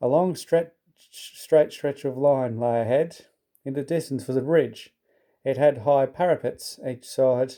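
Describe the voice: Against a quiet background comes plain reading aloud, its pitch varying in an ordinary way.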